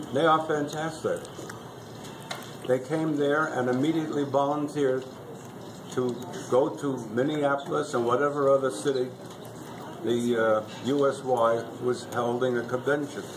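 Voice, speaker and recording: A man with a fairly high voice talks at a moderate pace with long, frequent pauses. His intonation is fairly even, and there is noticeable background noise. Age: 80s+. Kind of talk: birthday speech to family.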